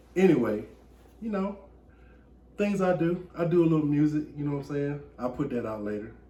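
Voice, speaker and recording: The speaker has a Southern US accent and a somewhat breathy voice with lively intonation. The pace is fairly quick with long, frequent pauses, and room echo is audible. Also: man, fairly high pitch for a man. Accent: Southern US (Georgia). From US South, rural Georgia. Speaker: podcast host. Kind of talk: casual chat.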